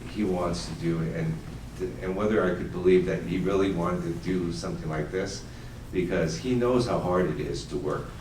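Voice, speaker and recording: The speaker has an American accent, moderate pace and lively intonation. Room echo is audible, along with noticeable background noise. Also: man. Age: 60s. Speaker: family business owner, confectioner. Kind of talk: audience Q&A panel. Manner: hesitant, many fillers.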